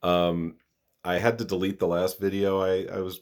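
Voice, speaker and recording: A man's very deep, low voice with vocal fry, in a very clean recording with a silent background. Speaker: YouTuber giving opinions. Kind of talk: casual monologue. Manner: halting.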